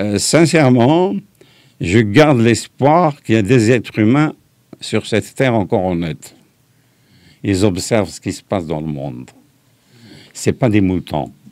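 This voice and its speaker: A man's fairly low voice at a fairly slow pace, with very wide pitch swings, big swings in loudness and long, frequent pauses. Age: 80s+. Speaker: veteran rock musician and songwriter. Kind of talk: interview.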